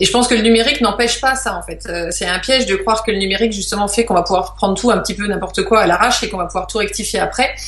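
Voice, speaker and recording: A woman at a medium pitch talks at a very fast pace with hardly any pauses. Noticeable background noise and audible room echo are present. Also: ordinary pitch variation. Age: 40s. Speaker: wildlife photographer and veterinarian. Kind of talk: interview.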